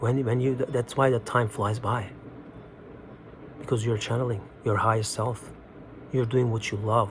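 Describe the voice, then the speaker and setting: A man with a Turkish accent, medium-pitched and flat in a monotone, at a moderate pace with long, frequent pauses. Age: 30s. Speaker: spiritual video host. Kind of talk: casual monologue. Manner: halting.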